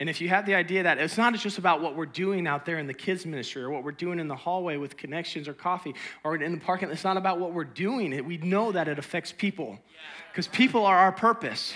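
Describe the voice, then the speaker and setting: High-pitched and animated, a man speaks at a very fast pace. His tone is bright and sharp, with ordinary pitch variation. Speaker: pastor. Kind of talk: sermon. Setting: church.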